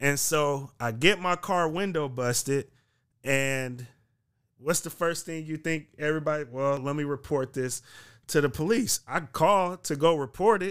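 In an American accent, a man talks in an unremarkable speaking voice at a fairly slow pace. His pitch varies in an ordinary way on a very clean recording with a silent background. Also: fairly high pitch for a man. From US West Coast, San Francisco Bay Area. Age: 30s. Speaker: journalist and community activist. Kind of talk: casual podcast interview.

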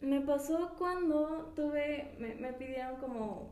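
Noticeable background noise and audible room echo around a female speaker's voice. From Mexico, Pachuca (Hidalgo). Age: 20s. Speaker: illustrator. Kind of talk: casual interview chat.

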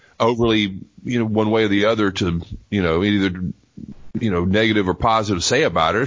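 A man with a plain, everyday voice speaks at a fairly quick pace, fairly low in pitch with ordinary pitch variation. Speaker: wrestling podcast co-host. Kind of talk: casual comedic banter.

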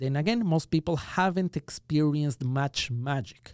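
Recorded very cleanly with a silent background and a dry, close sound with no echo, a man with an Ecuadorian accent speaks fairly slowly in a dark, mellow tone. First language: Spanish. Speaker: magician. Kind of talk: interview conversation. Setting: studio.

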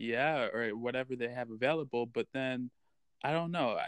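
A man at medium pitch, moderate pace and fairly even intonation, an ordinary speaking voice, over a quiet background. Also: dry, close sound with no echo. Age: 20s. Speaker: podcast co-host. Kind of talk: casual chat.

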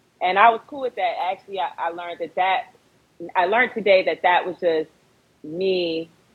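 A woman with an ordinary speaking voice and an American accent speaks at a moderate pace and a fairly low pitch, with ordinary pitch variation. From Fort Lauderdale, Florida. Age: 30s. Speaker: rapper and film director. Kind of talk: casual interview. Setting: Instagram live stream.

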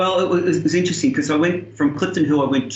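A man talks with an Australian accent over noticeable background noise. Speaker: tennis coach and senior player. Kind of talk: interview.

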